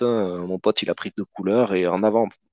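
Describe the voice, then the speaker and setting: In a plain, everyday voice, a man talks at a fairly slow pace with a fairly low pitch, fairly even intonation, and a dry, close sound with no echo. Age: 30s. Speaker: board game hobbyist. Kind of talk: casual chat.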